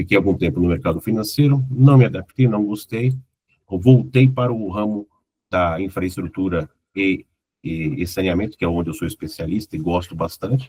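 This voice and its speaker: The voice is somewhat breathy, with a dark, mellow tone. It moves at a moderate pace with lively intonation. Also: man, fairly low pitch for a man. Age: 50s. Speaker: corporate consultant and former executive. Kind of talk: casual chat. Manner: relaxed.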